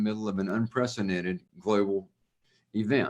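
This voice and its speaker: A man talks with a Southern accent. His pace is moderate. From US South, Louisiana. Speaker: institute co-founder. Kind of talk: interview.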